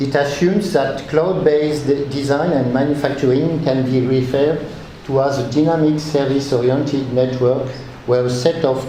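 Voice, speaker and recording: A man with a French accent speaks in a fairly high pitch with monotone, flat intonation at a moderate pace, with audible room echo and noticeable background noise. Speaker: researcher. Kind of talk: conference talk. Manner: reading aloud; halting.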